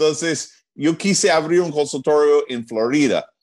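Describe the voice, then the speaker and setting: A man with a fairly high pitch talks with an American accent. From US Northeast, New Jersey. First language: English (speaking Spanish). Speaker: chiropractor. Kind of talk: interview.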